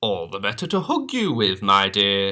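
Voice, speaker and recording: A man's fairly low-pitched, put-on character voice. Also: moderate pace. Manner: growling, menacing.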